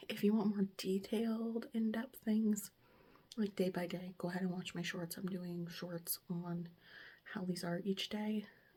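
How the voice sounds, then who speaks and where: With a dark, mellow tone and a somewhat breathy quality, a woman speaks at a medium pitch and a fairly slow pace, her intonation fairly even. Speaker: lifestyle vlogger. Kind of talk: casual vlog chat. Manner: conversational, chatty.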